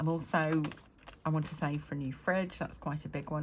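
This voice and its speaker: A woman's very deep, low voice, somewhat breathy, in a flat monotone. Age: 50s. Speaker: budgeting vlogger. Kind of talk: casual talk to camera. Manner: hesitant, many fillers.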